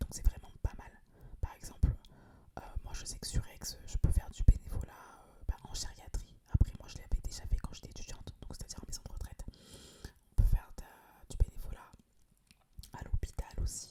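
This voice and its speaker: Whispering in a relaxed tone, a woman keeps a moderate pace with long, frequent pauses. Her loudness swings widely. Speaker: ASMR creator; social worker. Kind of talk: casual talk to camera, ASMR chat. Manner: relaxed, conversational.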